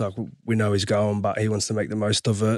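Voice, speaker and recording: A man's monotone, flat delivery at a moderate pace, in an Australian accent. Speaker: rugby league player. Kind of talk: casual sports chat.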